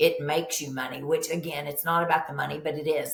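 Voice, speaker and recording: Here a woman speaks in a Kentucky accent. Room echo can be heard. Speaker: nurse practitioner. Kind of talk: podcast interview. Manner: animated.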